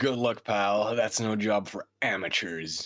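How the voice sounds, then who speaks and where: A man speaks in a put-on character voice, raspy and fairly low in pitch. He talks at a fairly slow pace with ordinary pitch variation. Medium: fan dub. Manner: chummy, wry, casual.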